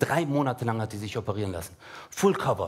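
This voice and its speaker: The speaker is a man with a somewhat breathy voice. He talks at a fairly quick pace. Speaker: stand-up comedian. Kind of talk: stand-up. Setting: stage with audience. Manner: animated. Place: stage. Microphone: headset.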